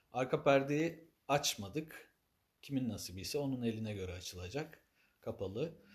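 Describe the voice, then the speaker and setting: A man's medium-pitched, somewhat breathy voice rises and falls with lively intonation. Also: moderate pace. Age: 30s. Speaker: ney teacher and maker. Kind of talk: live stream announcement. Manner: formal.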